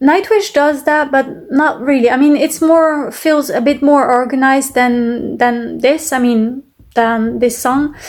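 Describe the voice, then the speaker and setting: With a French accent, a woman speaks in a high voice at a fairly slow pace with hardly any pauses. Her pitch varies in an ordinary way, and her loudness stays very even. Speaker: music reaction youtuber. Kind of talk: casual reaction commentary. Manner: halting, many fillers.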